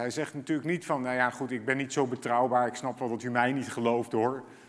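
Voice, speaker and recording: The words arrive at a fairly quick pace. It is an ordinary speaking voice. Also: man. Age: 40s. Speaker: pastor. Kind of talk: sermon.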